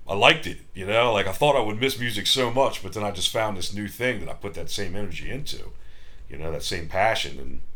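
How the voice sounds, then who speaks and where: Amid audible room echo, a man with an American accent talks at a very fast pace, his fairly low voice bright and sharp in tone, with vocal fry and lively intonation. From US, Maryland (Frederick). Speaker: musician. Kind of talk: casual chat. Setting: hotel room.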